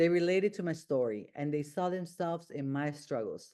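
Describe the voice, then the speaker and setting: In a quiet background, a woman speaks at a moderate pace with a Honduran accent. Her tone is dark and mellow and her pitch fairly low. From Honduras. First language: Spanish. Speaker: self-help podcast host. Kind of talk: motivational monologue. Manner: halting.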